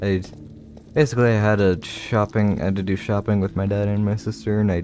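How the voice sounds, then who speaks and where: Fairly quick delivery with fairly even intonation. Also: man. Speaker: Minecraft streamer. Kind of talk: casual livestream gameplay commentary. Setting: livestream. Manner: flat, low-energy.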